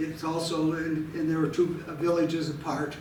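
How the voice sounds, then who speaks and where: Audible room echo around a male speaker at a fairly slow pace. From Butte, Montana, US. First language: Italian. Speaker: archives volunteer, amateur family historian. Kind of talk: presentation. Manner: halting.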